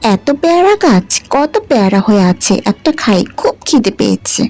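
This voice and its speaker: Using a cartoonish character voice, a woman speaks at a fairly high pitch with very wide pitch swings, a fairly slow pace and very even loudness, while faint music plays in the background. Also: dry, close sound with no echo. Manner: affectionate, calls others mother.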